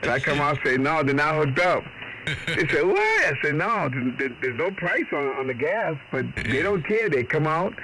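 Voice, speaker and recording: A fairly high-pitched man with an American accent, very even loudness and a moderate pace, against noticeable background noise. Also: ordinary pitch variation. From Boston. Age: 60s. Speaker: ham radio operator. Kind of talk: casual chat. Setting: radio contact. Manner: animated.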